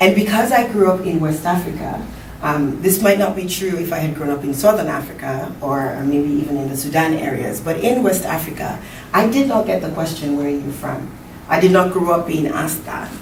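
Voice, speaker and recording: Over noticeable background noise and audible room echo, a woman talks fairly quickly at a fairly low pitch with lively intonation. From Sierra Leone. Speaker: conference speaker and academic. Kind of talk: conference talk.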